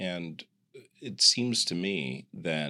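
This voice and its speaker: Bright and sharp in tone, a man speaks with an American accent and vocal fry. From US Midwest, Kansas City. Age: 50s. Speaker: executive coach. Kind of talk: interview conversation.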